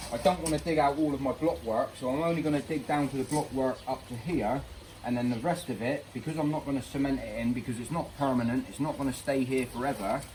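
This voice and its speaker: Against noticeable background noise, a man with an English accent talks at a very fast pace. His pitch is fairly high, with ordinary variation. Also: hardly any pauses. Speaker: DIY pond keeper vlogger. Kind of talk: DIY vlog. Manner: casual, thinking aloud.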